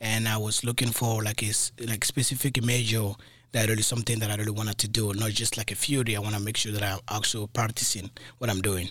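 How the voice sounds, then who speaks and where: A man with a West African accent speaks at a very fast pace in a fairly low, monotone, flat pitch with very even loudness, on a very clean recording with a silent background. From Mali, West Africa. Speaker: college alum, junior system administrator.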